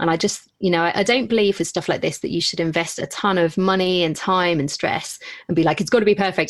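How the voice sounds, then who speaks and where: A woman with a British accent speaks very fast at a medium pitch, with ordinary pitch variation, hardly any pauses, and a quiet background. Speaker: podcaster. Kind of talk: casual chat. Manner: animated.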